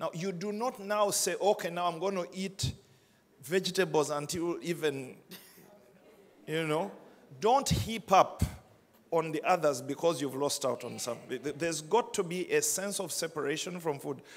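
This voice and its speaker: Pausing long and often, a man speaks at a moderate pace in a high pitch with ordinary pitch variation. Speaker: pastor. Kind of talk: sermon. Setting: church with congregation. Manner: conversational, wrapping up with practical advice. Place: church. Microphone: handheld.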